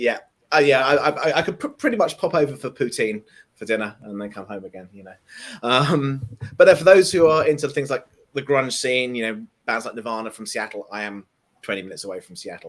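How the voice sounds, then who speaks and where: A man with an English accent speaks at a medium pitch with lively intonation. His loudness swings a lot. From southern England. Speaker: tech developer advocate. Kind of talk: casual chat.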